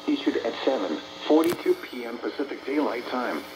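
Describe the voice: Clear background noise sits under a fairly quick delivery full of big pitch swings. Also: man, medium pitch for a man.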